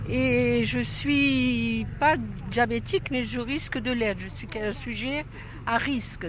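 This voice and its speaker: A woman talks very slowly, with audible room echo and noticeable background noise in the recording. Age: 70s. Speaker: workshop participant. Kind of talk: interview.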